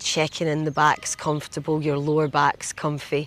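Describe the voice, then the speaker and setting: This woman speaks with a Scottish accent and a very deep, low pitch. Her intonation is monotone and flat. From Scotland. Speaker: meditation guide, retreat host. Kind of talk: guided body scan meditation. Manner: slow, gentle, soft-spoken.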